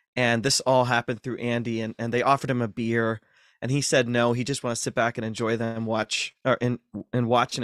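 In an American accent, a man talks at a moderate pace and medium pitch with monotone, flat intonation, in a dry, close sound with no echo on a very clean recording with a silent background. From US Midwest, north central Ohio. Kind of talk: interview.

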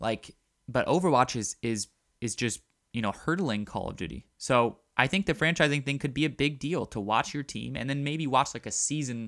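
With an American accent, a man speaks in an unremarkable speaking voice at medium pitch and a moderate pace, his ordinary pitch variation caught in a dry, close sound with no echo on a very clean recording with a silent background. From Baltimore, US. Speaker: gaming podcast host. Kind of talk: solo podcast commentary. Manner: casual with many fillers and repetitions.

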